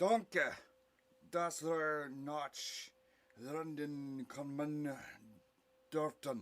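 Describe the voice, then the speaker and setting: A man's put-on character voice, fairly high in pitch, with fairly even intonation, a very slow pace and long, frequent pauses. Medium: audio drama.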